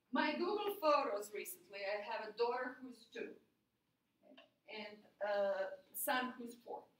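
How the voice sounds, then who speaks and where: With audible room echo, a woman speaks at a high pitch and a fairly slow pace, her intonation lively, her loudness swinging widely, and her pauses long and frequent. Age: 40s. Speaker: university lecturer. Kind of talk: lecture. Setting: classroom. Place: classroom.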